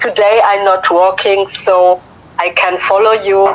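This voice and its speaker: A woman speaks in a French accent at a very slow pace. Her pitch is medium, and noticeable background noise can be heard. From Africa. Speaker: viewer calling in. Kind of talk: casual chat. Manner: halting. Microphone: cutting out connection.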